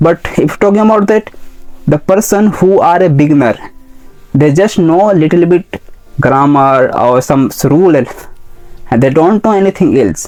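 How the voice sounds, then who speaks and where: Music plays in the background as a man with a high pitch and lively intonation speaks at a fairly slow pace and very even loudness. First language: not English. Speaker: English teacher. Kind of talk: tutorial. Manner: halting.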